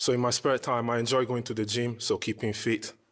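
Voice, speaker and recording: His intonation is monotone and flat. The man speaks at a moderate pace. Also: very clean recording, silent background. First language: Italian. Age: 30s. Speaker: dating show contestant. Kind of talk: interview on dating show. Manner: hesitant, many fillers.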